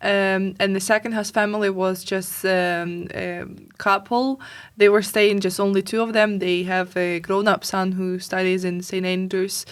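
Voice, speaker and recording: Delivered at a fairly slow pace in a flat, monotone way with a slight Scottish accent, the recording is very clean with a silent background. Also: woman, medium pitch for a woman. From Ukraine. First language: Ukrainian. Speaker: refugee interviewee. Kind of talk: podcast interview. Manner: halting.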